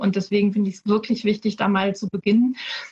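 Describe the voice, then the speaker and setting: Talking at a very fast pace, a woman uses a medium pitch. Noticeable background noise can be heard. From Hamburg, northern Germany. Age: 30s. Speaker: politician. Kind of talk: panel discussion.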